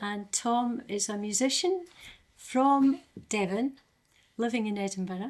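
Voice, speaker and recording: Very slowly and with lively intonation, a woman speaks in an Aberdeen accent at a fairly high pitch. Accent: Aberdeen Scottish. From Scotland, Aberdeen. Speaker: storyteller. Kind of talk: storytelling; event hosting.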